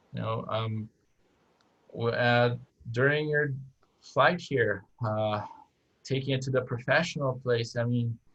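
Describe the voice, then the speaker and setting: A man with a Brazilian accent, medium in pitch, at a fairly slow pace and with fairly even intonation. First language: Portuguese. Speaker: airline captain. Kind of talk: interview conversation. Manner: halting, many fillers and restarts.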